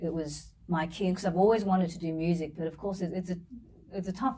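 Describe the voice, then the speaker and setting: A woman speaks in an Australian accent at a fairly low pitch. Her pace is fairly quick and her intonation fairly even. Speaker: singer and violinist. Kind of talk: interview. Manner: repeats words, halting.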